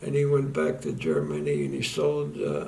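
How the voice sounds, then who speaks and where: A man speaks with an American accent. Audible room echo and noticeable background noise are present. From US, Philadelphia. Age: 90s. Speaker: war veteran. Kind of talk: testimony. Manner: halting.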